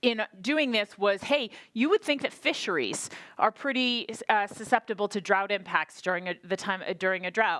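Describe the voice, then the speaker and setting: A woman with a fairly high pitch talks in an animated, energetic tone with lively intonation and long, frequent pauses, in a dry, close sound with no echo. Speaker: state drought planning official. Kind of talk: conference presentation. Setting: workshop with audience. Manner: fast.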